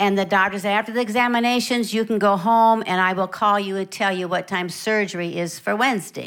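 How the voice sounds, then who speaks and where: With an ordinary speaking voice, this woman talks at a medium pitch and keeps her intonation fairly even. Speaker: visiting preacher. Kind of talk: sermon, preached in English with line-by-line German interpretation. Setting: church with interpreter. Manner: warm, fervent, encouraging; paced in short phrases for the interpreter.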